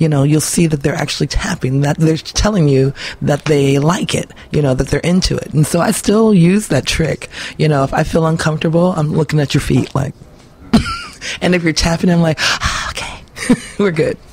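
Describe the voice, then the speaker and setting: Amid noticeable background noise, a woman with a very deep, low pitch speaks at a moderate pace, keeping a very even loudness and ordinary pitch variation. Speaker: blues singer. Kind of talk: interview. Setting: radio studio. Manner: hesitant with many fillers.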